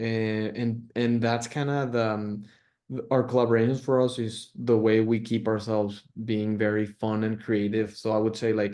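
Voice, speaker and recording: A man talks at a moderate pace with a Spanish accent. His tone is dark and mellow, and his intonation is monotone and flat. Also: medium pitch for a man. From Mexico, Monterrey. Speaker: clothing brand founder. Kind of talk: interview. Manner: halting, many fillers and repeats.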